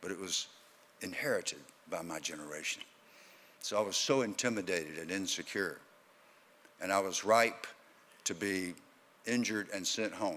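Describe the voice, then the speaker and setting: A man speaks with a Southern US accent at a fairly low pitch, in a bright, sharp tone. His pace is moderate, his pitch varies in an ordinary way, and he takes long, frequent pauses. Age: 70s. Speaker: former football player and keynote speaker. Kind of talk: keynote speech.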